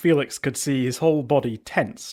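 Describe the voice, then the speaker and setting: At a moderate pace, a man with an unremarkable speaking voice talks on a very clean recording with a silent background. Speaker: audiobook narrator. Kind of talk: fantasy audiobook reading.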